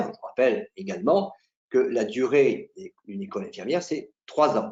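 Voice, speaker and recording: A man talks at a fairly slow pace with very wide pitch swings. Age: 60s. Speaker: nursing school instructor and exam juror. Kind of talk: promotional talk to camera. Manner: hesitant, frequent filler sounds.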